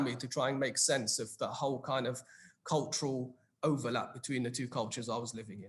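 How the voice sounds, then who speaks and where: Somewhat breathy, a man talks at a fairly quick pace with a British accent. His pitch varies in an ordinary way. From England, London. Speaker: psychologist. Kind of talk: panel discussion.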